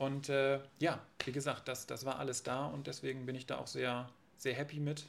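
At a moderate pace, a man talks in a flat monotone at a medium pitch. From northern Germany, Friesland coast. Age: 20s. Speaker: real estate agent. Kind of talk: casual interview.

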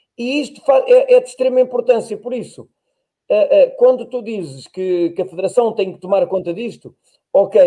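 A dark, mellow tone with ordinary pitch variation. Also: man. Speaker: podcast host, former runner. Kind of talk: casual chat.

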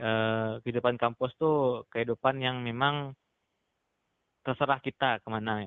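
A man talks at a moderate pace and a medium pitch, with long, frequent pauses. His intonation is monotone and flat, while his loudness swings widely. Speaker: student leader. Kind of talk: casual interview.

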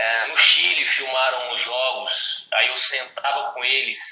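Very slow speech from a man. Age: 20s. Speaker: youth basketball coach. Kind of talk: casual interview.

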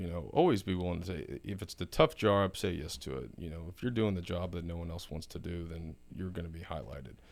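This man talks at a very fast pace with hardly any pauses, in a Texan accent. His very deep, low pitch carries vocal fry. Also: ordinary pitch variation. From South Texas. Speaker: oilfield business executive. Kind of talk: casual interview.

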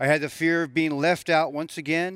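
Heard at a moderate pace on a very clean recording with a silent background, this is a plain, everyday voice. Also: man. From Southern California. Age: 60s. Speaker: recovery testimony speaker, former prisoner. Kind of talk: testimony.

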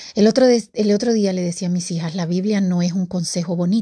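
A woman's very fast, somewhat breathy voice with a dark, mellow tone over a quiet background. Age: 50s. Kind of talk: devotional talk. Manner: casual and conversational.

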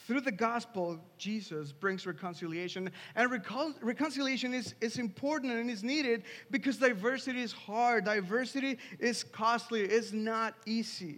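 A man with a Spanish accent speaks at a moderate pace in an extremely high pitch, his pitch varying in an ordinary way. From Mexico City, Mexico. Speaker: pastor. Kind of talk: sermon. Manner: halting, frequent repetitions.

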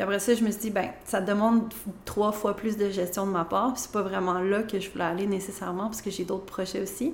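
Fairly quick speech from a woman at medium pitch, with fairly even intonation and audible room echo. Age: 30s. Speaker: interior designer and business owner. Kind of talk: interview.

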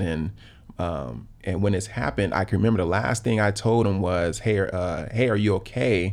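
A man with an American accent speaks at a moderate pace. His voice is fairly low with vocal fry and ordinary pitch variation. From South Los Angeles. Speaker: company founder and public speaker. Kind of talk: casual chat.

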